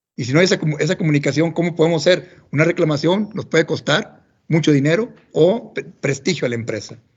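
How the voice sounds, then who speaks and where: Very fast male speech at a fairly high pitch, with ordinary pitch variation. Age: 50s. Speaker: agronomist, corporate technical manager. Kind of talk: professional talk. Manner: halting.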